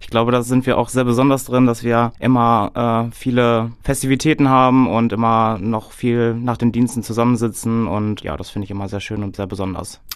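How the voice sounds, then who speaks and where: In a normal speaking voice, a man talks at a moderate pace and a medium pitch with fairly even intonation and hardly any pauses. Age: 30s. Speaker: care home manager and podcast host. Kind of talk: casual chat.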